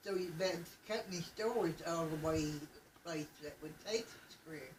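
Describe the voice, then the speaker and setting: A woman with an Appalachian accent, fairly low in pitch, with lively intonation amid noticeable background noise. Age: 80s+. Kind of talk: family oral history interview.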